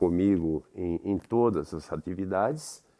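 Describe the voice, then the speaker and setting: Lively in intonation, a man speaks at a very slow pace. The recording is very clean, dry and close, with a silent background and no echo. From Brazil, São Paulo area (Carapicuíba). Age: 70s. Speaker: theatre director and actor. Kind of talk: interview. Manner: reflective, with hesitations.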